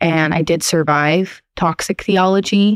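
A woman with an American accent and a fairly low pitch has an unremarkable speaking voice, her intonation fairly even and the sound dry and close with no echo. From Portland, Oregon. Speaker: listener sharing coming-out story. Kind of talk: recorded testimony.

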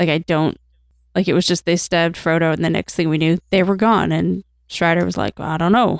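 The speaking voice is unremarkable, with fairly even intonation, a moderate pace and a dry, close sound with no echo. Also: woman. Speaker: podcast host. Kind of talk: casual chat.

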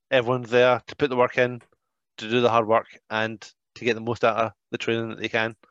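A man with a Scottish accent talks very fast but with long, frequent pauses, his intonation monotone and flat and his loudness swinging widely, in a dry, close sound with no echo against a quiet background. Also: medium pitch for a man. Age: 40s. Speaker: professional wrestler and trainer. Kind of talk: casual chat.

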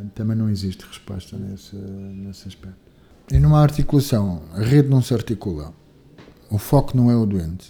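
Somewhat breathy, a man with a dark, mellow tone speaks at a moderate pace, using lively intonation and big swings in loudness. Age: 50s. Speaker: physician. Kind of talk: interview. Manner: halting, with frequent repetitions and fillers.

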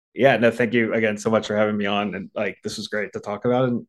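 With an American accent, the speaker talks at a very fast pace over a quiet background. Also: man. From US East Coast, Baltimore. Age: 30s. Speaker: podcast listener sharing breakup story. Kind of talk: casual interview.

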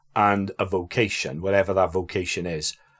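On a very clean recording with a silent background, a man talks at a moderate pace in a South Welsh accent. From Wales, Aberdare. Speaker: priest. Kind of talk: casual chat.

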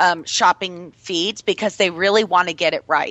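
At a fairly quick pace, a woman with a medium pitch speaks in an ordinary speaking voice. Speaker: radio host. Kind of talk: radio interview. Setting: live radio show with online chat room. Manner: chatty, upbeat.

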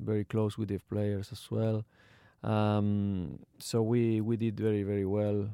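A man with an Argentine accent speaks in a fairly low, dark, mellow tone. His intonation is monotone and flat, and his pace is fairly slow. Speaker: retired footballer, academy founder. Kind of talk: casual interview. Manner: halting.

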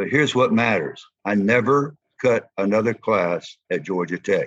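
Moderate-paced speech from a man with a fairly low pitch and a Southern US accent. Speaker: former football player and coach. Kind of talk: interview.

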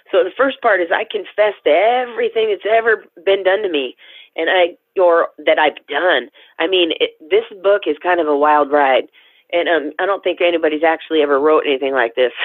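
With an American accent, a woman of fairly low pitch speaks at a fairly quick pace and very even loudness. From Tacoma, Washington, US. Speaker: former prisoner and author. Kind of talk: personal testimony in interview. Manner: halting, many fillers.

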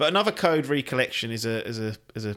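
A man talks at a fairly quick pace in a bright, sharp tone. His pitch is fairly low, with ordinary variation.

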